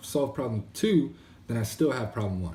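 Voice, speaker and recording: Audible room echo surrounds a man speaking very fast at a medium pitch. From Maryland, US. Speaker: entrepreneur vlogger. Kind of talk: casual video diary monologue. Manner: fast when ranting; casual, lots of fillers.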